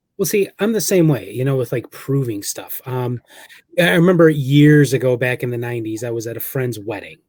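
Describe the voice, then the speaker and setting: Lively intonation and a fairly quick pace mark this somewhat breathy voice. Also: man, medium pitch for a man. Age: 40s. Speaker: paranormal researcher and author. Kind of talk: casual interview chat.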